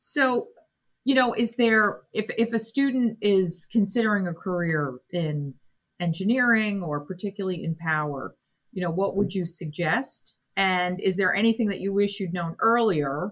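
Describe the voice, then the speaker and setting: A somewhat breathy woman's voice at medium pitch and a moderate pace, on a very clean recording with total background silence. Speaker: college president and podcast host. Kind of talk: interview conversation.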